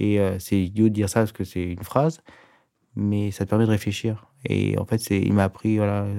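A man's fairly low voice at a moderate pace, a normal speaking voice with fairly even intonation. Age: 40s. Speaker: master tailor, head of a tailoring house. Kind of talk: casual interview. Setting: studio.

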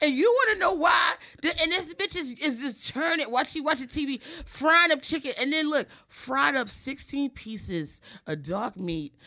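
Raised and projected, a woman's high-pitched voice carries a bright, sharp tone, an animated quality and very wide pitch swings. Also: moderate pace. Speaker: stand-up comedian. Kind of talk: casual chat.

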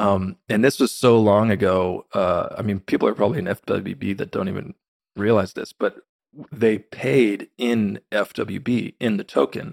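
An unremarkable speaking voice with ordinary pitch variation comes across in a dry, close sound with no echo. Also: man. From Texas, Austin area. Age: 30s. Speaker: crypto marketing executive. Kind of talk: casual interview.

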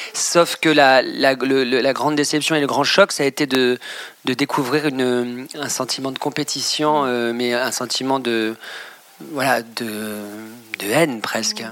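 Noticeable background noise sits behind a man speaking at a fairly slow pace with a medium pitch and fairly even intonation. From Normandy, France. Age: 30s. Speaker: fashion designer. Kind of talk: interview. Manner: hesitant, many fillers and repetitions.

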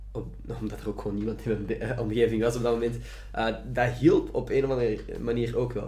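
With a Flemish accent, a man speaks at a very fast pace amid audible room echo. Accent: Flemish Dutch. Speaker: podcast host and student. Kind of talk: casual chat. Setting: home recording in student room.

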